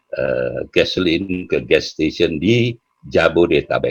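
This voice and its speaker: The speaking pace is very slow. A man's voice sounds dry and close, with no echo. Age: 70s. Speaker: entrepreneur. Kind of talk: interview. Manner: hesitant, many fillers.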